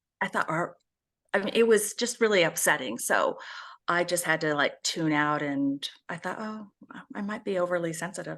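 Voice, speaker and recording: Moderate-paced female speech, fairly low in pitch with ordinary pitch variation, an unremarkable speaking voice over a quiet background. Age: 60s. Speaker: speaker and advocate for abuse survivors, author. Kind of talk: interview.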